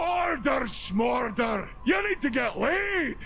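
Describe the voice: Putting on a character voice, a man shouts at an extremely high pitch, speaking slowly with big pitch swings and vocal fry over clear background noise.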